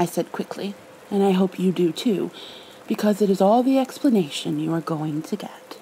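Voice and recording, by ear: The speaker reads text aloud. It comes across in a natural voice.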